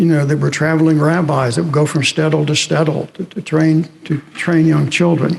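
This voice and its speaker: Fairly high male voice at a moderate pace, ordinary pitch variation, noticeable background noise. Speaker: historian and professor. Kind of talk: lecture. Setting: chapel with audience.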